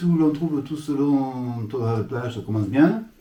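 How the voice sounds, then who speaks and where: A man is speaking at a moderate pace. Noticeable background noise can be heard. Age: old. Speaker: YouTube model-railway hobbyist host. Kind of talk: reading aloud; casual chat.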